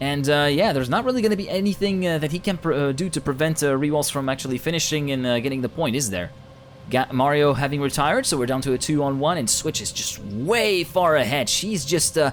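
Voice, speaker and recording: A man talks very fast in a fairly high voice with lively intonation. Noticeable background noise runs under the recording. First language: not English. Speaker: esports caster. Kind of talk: live commentary. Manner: animated.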